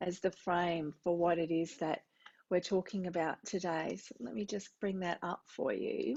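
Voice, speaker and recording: Moderate pace from a woman in an Australian accent. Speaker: music therapy professor. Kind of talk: lecture. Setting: recorded teaching video.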